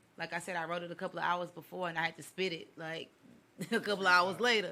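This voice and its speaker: A loud woman with fairly low pitch talks at a very fast pace in a bright, sharp tone with monotone, flat intonation. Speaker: poet. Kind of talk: casual chat.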